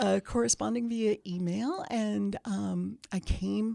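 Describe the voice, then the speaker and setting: A woman is heard in a very clean recording with a silent background. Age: 60s. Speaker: bookstore owner. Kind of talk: casual interview chat. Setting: studio.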